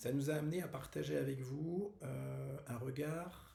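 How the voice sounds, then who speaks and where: A man's fairly high voice with audible room echo. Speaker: wellness workshop host. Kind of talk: casual video announcement. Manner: halting, many fillers.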